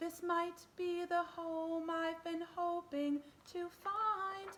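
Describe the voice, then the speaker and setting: Using a squeaky, put-on character voice at an extremely high pitch, a woman talks at a very slow pace with monotone, flat intonation. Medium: read story.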